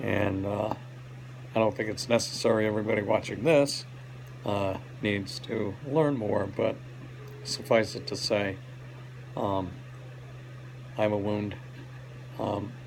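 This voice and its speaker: A fairly low-pitched man at a fairly slow pace, ordinary pitch variation and long, frequent pauses, with audible room echo and noticeable background noise. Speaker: hospital patient giving health update. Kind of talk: personal video update. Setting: hospital rehab room. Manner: halting, many fillers.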